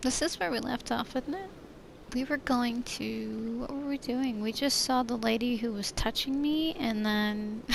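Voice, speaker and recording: Soft-spoken, a woman talks at a high pitch. Her pace is fairly slow. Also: ordinary pitch variation. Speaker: gaming streamer. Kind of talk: let's play commentary. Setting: alone in a room.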